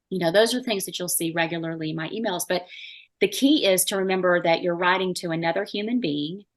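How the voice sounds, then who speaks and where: Over a quiet background, a woman with a medium pitch talks at a very fast pace with ordinary pitch variation. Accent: Southern US. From US South. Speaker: marketing expert. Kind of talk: podcast interview. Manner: animated.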